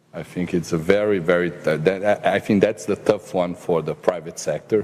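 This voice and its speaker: The speaker has a Portuguese accent and talks at a moderate pace. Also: man. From Brazil. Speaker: government minister and economist. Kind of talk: panel discussion. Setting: forum panel with audience. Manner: halting, many repetitions and fillers.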